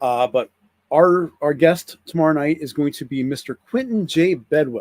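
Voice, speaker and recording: Fairly high male voice with an American accent, moderate pace, ordinary pitch variation, and a dry, close sound with no echo. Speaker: toy collector YouTuber. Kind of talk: casual live stream chat. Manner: halting, many fillers and restarts.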